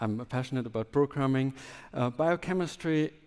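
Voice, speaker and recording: The speaker moves at a moderate pace with lively intonation, recorded with a dry, close sound and no echo. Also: man. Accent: German. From southwest Germany. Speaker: biotech entrepreneur, scientist. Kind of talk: conference talk.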